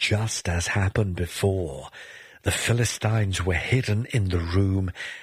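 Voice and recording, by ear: Someone is reading aloud in a natural voice.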